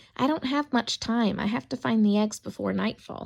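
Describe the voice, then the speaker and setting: Using a put-on character voice, a female-sounding speaker talks at a moderate pace with a fairly high pitch for a woman. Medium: read story.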